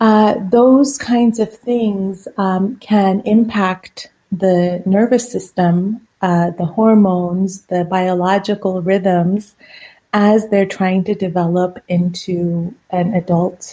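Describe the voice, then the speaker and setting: In a Persian accent, a woman speaks very slowly in a dark, mellow, somewhat breathy tone with fairly even intonation. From Iran. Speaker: psychiatrist.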